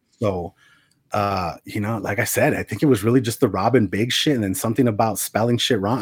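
Talking at a very fast pace, a man with an American accent has a medium pitch and ordinary pitch variation. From Arizona. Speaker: podcast co-host and former rapper. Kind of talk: casual chat.

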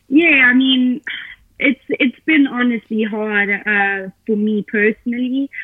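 A woman with a South African accent speaks at a very slow pace. Her pitch is high, with ordinary pitch variation. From Johannesburg, South Africa. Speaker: professional triathlete. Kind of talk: casual interview.

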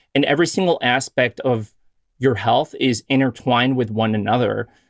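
A man with an ordinary speaking voice talks at a moderate pace. The sound is dry and close with no echo, over a quiet background. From US Midwest, Chicago. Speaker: physician and podcast host. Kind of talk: casual interview chat.

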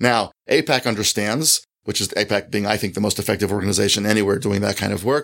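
An ordinary speaking voice from a man, fairly low in pitch with fairly even intonation at a fairly quick pace, in a very clean recording with a silent background. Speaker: author and college fellow. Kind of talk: interview conversation. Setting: office.

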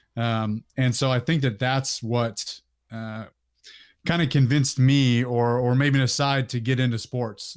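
A man with an American accent speaks at a medium pitch in a monotone, flat delivery. The recording is very clean, with a silent background. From Northern California (Sacramento area). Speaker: Marine veteran and fitness YouTuber. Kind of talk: casual interview.

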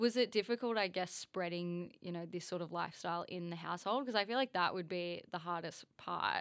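A woman with a plain, everyday voice talks at a fairly quick pace with hardly any pauses. Her fairly low pitch shows ordinary variation on a very clean recording with a silent background. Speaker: podcast co-host. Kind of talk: casual podcast conversation.

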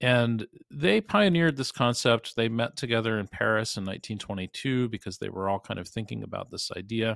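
An ordinary speaking voice moves at a fairly quick pace with hardly any pauses and ordinary pitch variation, recorded with a dry, close sound with no echo. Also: man, medium pitch for a man. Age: 50s. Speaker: investigative journalist and researcher. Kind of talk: interview.

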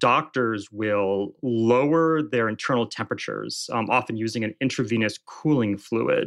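Against a quiet background, a man speaks at a moderate pace and medium pitch with lively intonation. He has an ordinary speaking voice. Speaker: journalist and author. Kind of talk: interview answers.

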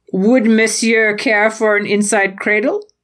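A female-sounding voice, fairly high in pitch, in a put-on character voice, fairly slow and monotone with flat intonation. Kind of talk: formal, obsequious. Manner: mock-polite, theatrical.

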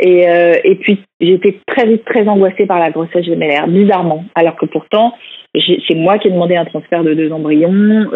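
The woman here speaks with a fairly low pitch. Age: 40s. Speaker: author sharing fertility treatment story. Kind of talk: interview testimony. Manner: hesitant, many fillers.

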